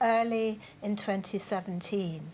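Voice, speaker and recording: With a plain, everyday voice, a woman talks at medium pitch and with ordinary pitch variation. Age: 60s. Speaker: adult literacy group organiser. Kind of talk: TV news interview.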